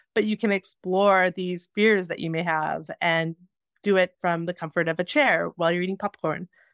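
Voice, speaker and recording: A woman with a Canadian accent speaks at a moderate pace in a fairly low voice, recorded dry and close with no echo on a very clean track with a silent background. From Alberta, Canada (near Edmonton). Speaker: film director. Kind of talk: interview. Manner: animated.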